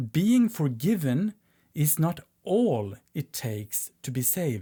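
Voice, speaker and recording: In a very clean recording with a silent background, the speech moves at a very slow pace. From Sweden. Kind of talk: teaching talk.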